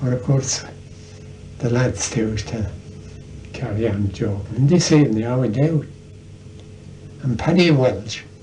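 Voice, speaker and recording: In a Tipperary accent, the speaker goes at a moderate pace with ordinary pitch variation and long, frequent pauses, with noticeable background noise and audible room echo. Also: man, medium pitch for a man. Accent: Irish, Tipperary. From Ireland, County Tipperary. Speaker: storyteller. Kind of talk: casual chat.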